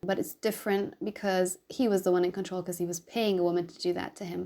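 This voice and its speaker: This woman's pitch sits in the medium range with ordinary variation. She talks at a fairly quick pace. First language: German. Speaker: YouTuber, anti-abuse commentator. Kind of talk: reaction commentary reading game text. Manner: casual, conversational.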